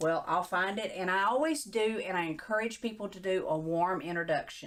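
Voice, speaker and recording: With a Texan accent, a woman speaks at a moderate pace with lively intonation. The recording is very clean, with a silent background. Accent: Texas country. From East Texas. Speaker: small business owner. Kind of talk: casual interview chat.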